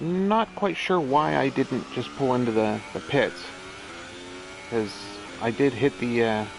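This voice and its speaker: Over noticeable background noise, a medium-pitched man talks at a fairly slow pace with long, frequent pauses. His pitch swings very widely. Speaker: gaming streamer. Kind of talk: gameplay commentary. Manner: casual, rambling to self.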